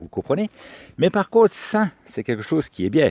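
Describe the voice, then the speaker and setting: Recorded dry and close with no echo, a man's voice makes very wide pitch swings. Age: 60s. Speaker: vlogger. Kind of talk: casual vlog monologue. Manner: hesitant with many repetitions.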